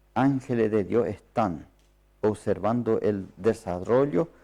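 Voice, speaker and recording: A man speaks with a non-native accent and ordinary pitch variation. His tone is dark and mellow. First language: not Spanish (speaking Spanish). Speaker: preacher. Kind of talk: sermon. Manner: halting.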